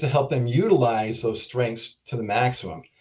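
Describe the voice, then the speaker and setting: At a moderate pace, the voice comes across somewhat breathy. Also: man. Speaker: keynote speaker, drug development leader. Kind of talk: keynote talk.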